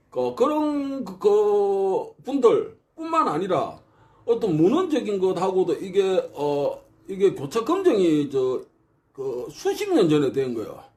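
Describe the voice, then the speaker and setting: A man at a very slow pace, with very wide pitch swings. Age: old. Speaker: martial arts researcher. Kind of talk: casual lecture. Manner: halting, many fillers.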